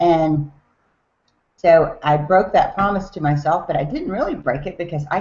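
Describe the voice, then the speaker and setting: A woman speaks with a Southern US accent. Her voice is very deep and low. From US South, Tennessee. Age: 40s. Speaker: network marketer. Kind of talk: business talk on a team call. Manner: casual, with filler words.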